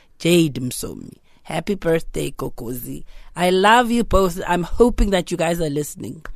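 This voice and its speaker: A woman speaks at a moderate pace in a fairly low pitch, with lively intonation. Vocal fry runs through her voice. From Durban, South Africa. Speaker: actress. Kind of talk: interview. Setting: studio.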